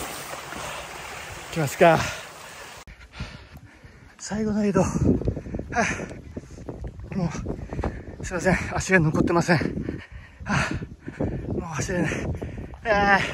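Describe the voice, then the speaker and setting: A man talks at a very slow pace with long, frequent pauses. The sound is dry with no echo, but loud noise fills the background. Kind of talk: casual vlog chat. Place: open country. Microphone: phone near.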